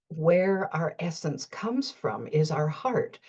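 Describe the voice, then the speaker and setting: A somewhat breathy woman talks at a very slow pace with lively intonation. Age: 70s. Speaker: life coach / motivational vlogger. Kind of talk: reflective monologue. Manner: halting, with many repeated words.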